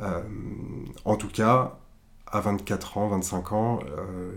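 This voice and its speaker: The man's voice sits at a fairly low pitch. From southern France. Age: 20s. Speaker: art director. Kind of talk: interview. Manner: hesitant.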